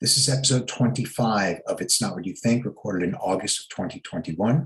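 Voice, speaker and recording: A man with a normal speaking voice talks at a moderate pace with lively intonation. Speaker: podcast host. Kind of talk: podcast episode intro read.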